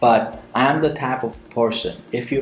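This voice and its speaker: A man with an Indian accent and medium pitch is heard with audible room echo and noticeable background noise. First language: Indian language. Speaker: motivational speaker and entrepreneur. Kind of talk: Q&A advice monologue. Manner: conversational with frequent fillers.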